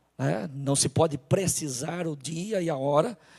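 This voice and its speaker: At a fairly high pitch, a man speaks with a dark, mellow tone and ordinary pitch variation. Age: 60s. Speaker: pastor. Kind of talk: sermon.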